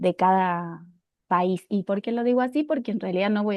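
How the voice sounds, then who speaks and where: A woman with an unremarkable speaking voice talks with ordinary pitch variation. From Argentina. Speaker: university lecturer, youth mental health researcher. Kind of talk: public talk.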